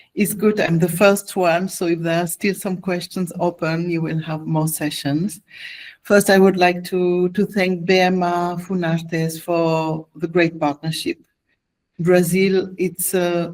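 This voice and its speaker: A woman with a non-native accent speaks fairly slowly in a flat monotone at a fairly low pitch. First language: not English. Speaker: music conference representative giving training. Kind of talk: online presentation. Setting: video call. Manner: hesitant, with fillers.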